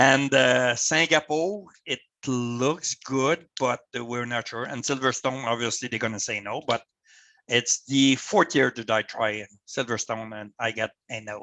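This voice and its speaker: With a Quebec accent, a man talks at a fairly slow pace. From Canada. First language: French. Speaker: volunteer motorsport official. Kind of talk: presentation to club over video call. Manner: halting, many repetitions.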